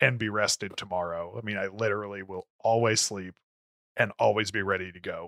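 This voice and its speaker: Recorded very cleanly against a silent background, a man with an American accent speaks at a moderate pace in a dry, close sound with no echo. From Florida, US South. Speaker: podcast co-host. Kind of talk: casual chat. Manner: loud.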